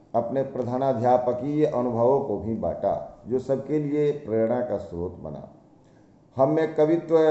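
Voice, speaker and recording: A man at medium pitch with ordinary pitch variation, noticeable background noise behind him. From India, Bihar (Saran district). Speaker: school teacher. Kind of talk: prepared autobiographical talk. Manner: formal.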